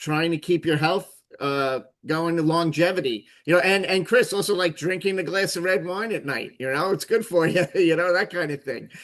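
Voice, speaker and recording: Moderate pace with ordinary pitch variation. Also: man, high pitch for a man. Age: 60s. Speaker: talk show host. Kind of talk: casual chat. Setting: video call. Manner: halting.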